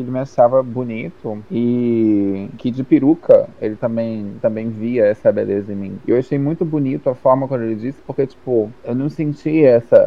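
With an unremarkable speaking voice, a man talks at a medium pitch and varies it in an ordinary way. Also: moderate pace. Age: 20s. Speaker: drag performer and streamer. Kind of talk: casual chat.

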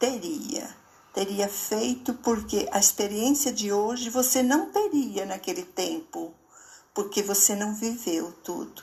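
Speaking at a very slow pace, a woman uses lively intonation and a fairly high pitch. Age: 70s. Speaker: poet and columnist. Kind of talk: reflective monologue. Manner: halting.

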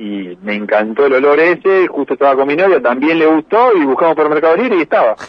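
The speaker rushes along at a very fast pace with hardly any pauses, the pitch swinging very widely. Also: man, fairly high pitch for a man. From Argentina, Santa Fe province (Las Parejas). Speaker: racing driver. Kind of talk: interview. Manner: hesitant, with many fillers.

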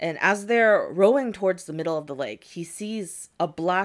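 In an unremarkable speaking voice with an American accent, a woman talks at a moderate pace with a fairly low pitch and lively intonation, in a very clean recording with a silent background. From United States. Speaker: podcast host, storyteller. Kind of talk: storytelling in casual chat. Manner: casual, frequent 'like' fillers and laughter.

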